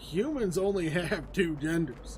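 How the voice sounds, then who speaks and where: A male voice with fairly even intonation. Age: 30s. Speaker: gaming streamer. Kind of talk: casual livestream chat. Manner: halting.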